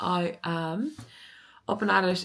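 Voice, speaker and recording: Her intonation lively, a woman talks with an Irish accent. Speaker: lifestyle vlogger. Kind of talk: casual vlog chat.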